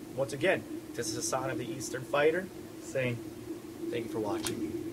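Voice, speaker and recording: With an American accent, a man speaks at a fairly quick pace amid noticeable background noise and audible room echo. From New York. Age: 20s. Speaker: martial arts instructor. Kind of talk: instructional monologue. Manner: fast.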